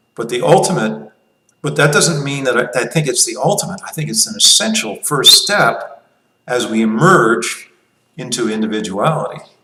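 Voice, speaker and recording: In a room with audible echo, a man with a fairly high voice talks at a moderate pace, making very wide pitch swings and big swings in loudness. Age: 60s. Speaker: libertarian commentator. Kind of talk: casual monologue. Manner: halting, with many restarts.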